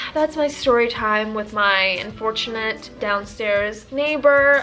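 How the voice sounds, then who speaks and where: The delivery has an animated tone. Noticeable background noise sits behind it. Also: woman. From Tanzania. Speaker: vlogger. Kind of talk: storytime vlog.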